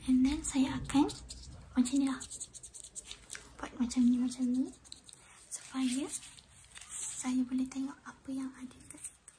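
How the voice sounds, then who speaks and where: Soft-spoken and gentle in tone, a woman speaks at a high pitch and a fairly slow pace with monotone, flat intonation over noticeable background noise. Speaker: ASMR creator. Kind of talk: ASMR roleplay, clinic lice check. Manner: soft-spoken, gentle.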